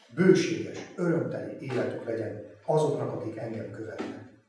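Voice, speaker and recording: Strong room echo surrounds a man who speaks at a fairly slow pace with a fairly high pitch and ordinary pitch variation. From Transylvania, Romania (Székelyudvarhely); Transylvania, Romania. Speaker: lay preacher. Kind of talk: sermon. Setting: church congregation. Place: church.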